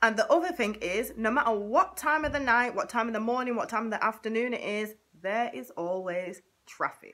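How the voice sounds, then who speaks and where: A woman with a Manchester accent speaks at a moderate pace in a fairly high voice. Her tone is upbeat, and her pitch swings very widely. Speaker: vlogger. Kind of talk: casual talk to camera. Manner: chatty, upbeat.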